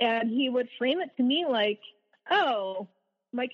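In an ordinary speaking voice, a woman talks at a moderate pace with an American accent and ordinary pitch variation. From US South. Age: 30s. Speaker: abuse survivor. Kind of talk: testimony.

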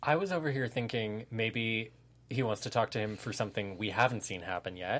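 A man with an American accent and a plain, everyday voice, medium in pitch with ordinary pitch variation, at a fairly quick pace on a very clean recording with a silent background. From Santa Monica, Southern California. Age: 20s. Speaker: TV review podcast host. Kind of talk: casual chat.

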